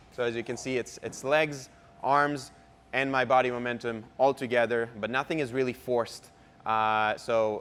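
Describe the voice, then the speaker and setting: With a non-native accent, a man talks at a moderate pace in a medium-pitched voice and fairly even intonation. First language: not English. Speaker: pickleball pro and co-host. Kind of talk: tutorial. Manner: halting.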